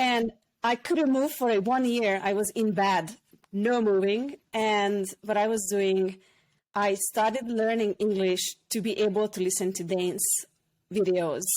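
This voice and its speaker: A woman with a Hungarian accent speaks at a fairly slow pace and a medium pitch, keeping her loudness very even. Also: ordinary pitch variation. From Hungary. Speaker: former hairdresser and personal development facilitator. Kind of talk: podcast interview, personal story.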